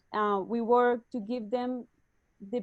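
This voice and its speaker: Here a woman speaks in a Spanish accent. Her pitch is fairly high. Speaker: startup executive. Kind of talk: webinar interview. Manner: halting.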